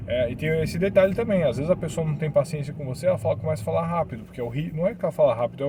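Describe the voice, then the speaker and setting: A man talks very fast with hardly any pauses. His pitch is fairly high and his intonation lively. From Brazil. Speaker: vlogger about living abroad. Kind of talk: casual vlog talk. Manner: hesitant, with repeated words.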